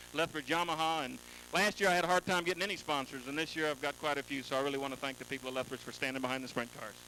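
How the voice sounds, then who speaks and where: Speaking with a Texan accent, a man uses ordinary pitch variation. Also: fairly high pitch for a man. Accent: Texan drawl. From Houston, Texas. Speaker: sprint car driver. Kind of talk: trackside interview.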